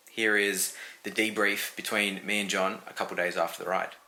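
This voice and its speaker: With an Australian accent, a man speaks at a moderate pace in a fairly low pitch, his tone bright and sharp and his intonation flat and monotone. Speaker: gravel cyclist, vlogger. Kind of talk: casual talk to camera.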